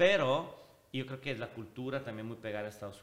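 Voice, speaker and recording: A man with an Italian accent at a medium pitch, with ordinary pitch variation and a moderate pace. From Switzerland, Italian family. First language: Italian (speaking Spanish). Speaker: social media personality. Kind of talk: casual chat. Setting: recording venue in a house.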